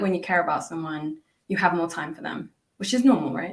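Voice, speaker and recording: A fairly low-pitched woman with a British accent, lively intonation and a fairly quick pace. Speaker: English teacher. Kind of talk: casual chat.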